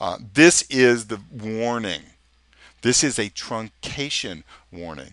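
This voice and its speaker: A man talks at medium pitch in a bright, sharp tone. The sound is dry and close with no echo, and the background is quiet. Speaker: software trainer. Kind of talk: screen-recorded tutorial. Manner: casual, hesitant with fillers.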